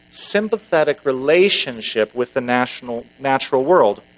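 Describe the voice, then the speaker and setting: Here is an unremarkable speaking voice with lively intonation. It keeps a moderate pace. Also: man. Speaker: minister giving a sermon. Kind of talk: sermon delivered to a congregation. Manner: conversational, humorous, wry.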